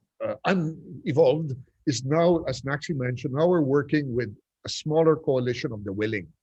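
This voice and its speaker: Moderate-paced speech from a man with a fairly high pitch. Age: 60s. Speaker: urban development advocate. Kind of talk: panel discussion. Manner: halting.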